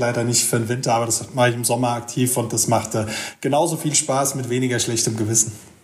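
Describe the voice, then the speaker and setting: A man talks fairly quickly at a medium pitch, his intonation monotone and flat. Room echo is audible, and background noise is noticeable. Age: 40s. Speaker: freight forwarder. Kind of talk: casual interview. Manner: hesitant with fillers.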